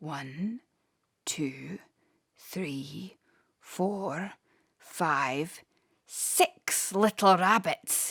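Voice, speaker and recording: A woman's put-on character voice, fairly low in pitch, very slow, broken by long and frequent pauses, on a very clean recording with a silent background. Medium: read story. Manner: gloating, chuckling.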